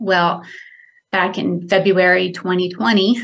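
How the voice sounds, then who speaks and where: Intonation stays fairly even in speech carrying an American accent. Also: woman. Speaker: caller, analyst. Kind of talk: phone interview, personal story. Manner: hesitant, many fillers.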